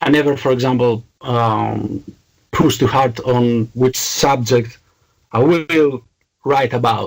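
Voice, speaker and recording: A man with a Greek accent speaks at a very slow pace, with long, frequent pauses and very even loudness. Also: medium pitch for a man, fairly even intonation. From Greece. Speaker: metal band vocalist. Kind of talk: interview.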